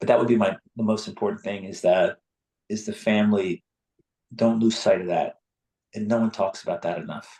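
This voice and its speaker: A man talks at a fairly quick pace in an American accent. His speech has long, frequent pauses. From Northern New Jersey, US. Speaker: spine surgeon. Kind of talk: interview. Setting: video call from hotel bathroom. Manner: quiet; animated.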